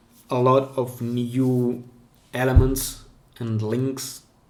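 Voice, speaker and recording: A man with a non-native accent speaks at medium pitch at a very slow pace, in a monotone, flat intonation with long, frequent pauses. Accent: non-native English, improving. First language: Russian. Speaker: pen spinning streamer. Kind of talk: live stream Q&A. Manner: halting, with self-corrections.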